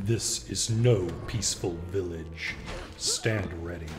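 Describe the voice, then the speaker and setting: Putting on a character voice, a man speaks with a very deep, low pitch at a fairly slow pace. Background noise is clearly audible. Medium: video game. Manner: solemn, commanding.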